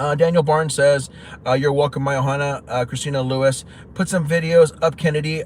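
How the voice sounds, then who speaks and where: A man talks at a fairly quick pace in a flat monotone. Noticeable background noise sits behind him. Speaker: YouTuber live streaming. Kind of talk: casual live stream chat. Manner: fast; halting.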